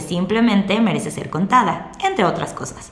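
In a Mexican accent, a woman speaks at a moderate pace with ordinary pitch variation. Audible room echo and noticeable background noise fill the recording. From Mexico. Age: 20s. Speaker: podcast host. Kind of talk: monologue podcast introduction.

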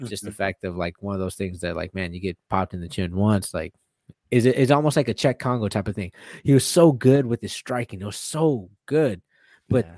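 On a very clean recording with a silent background, a man with a fairly low pitch talks at a fairly quick pace, using lively intonation and big swings in loudness. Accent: American. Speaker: UFC fighter. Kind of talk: casual chat. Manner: excitable.

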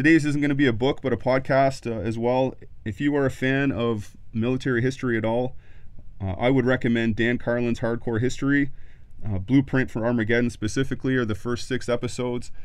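In an ordinary speaking voice of medium pitch, a man talks at a fairly quick pace with fairly even intonation. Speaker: army officer podcast host. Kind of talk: casual interview.

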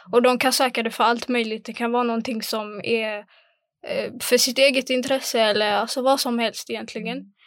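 This woman's voice has a fairly high pitch and monotone, flat intonation. She keeps a moderate pace. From Sweden, Angered, Gothenburg. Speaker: former youth council chair. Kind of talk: casual chat.

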